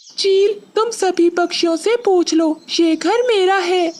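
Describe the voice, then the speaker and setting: The pitch is extremely high. It is a cartoonish character voice delivered at a moderate speed. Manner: meek, plaintive.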